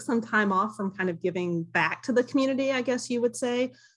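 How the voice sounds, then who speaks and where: Against a quiet background, a woman speaks with a Southern US accent. Her intonation is lively. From US South, Kentucky. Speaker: board applicant, university professor. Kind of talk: public meeting interview. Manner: halting, many fillers.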